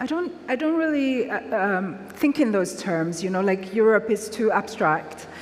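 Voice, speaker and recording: A fairly high-pitched woman speaks fairly slowly with very wide pitch swings. Background noise is noticeable. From Nigeria, Lagos. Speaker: author. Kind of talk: public talk Q&A.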